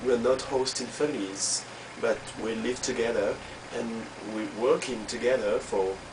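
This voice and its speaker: Amid noticeable background noise, a man with a strong French accent speaks at a fairly slow pace, leaving long, frequent pauses. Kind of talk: casual personal video message. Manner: hesitant, many fillers.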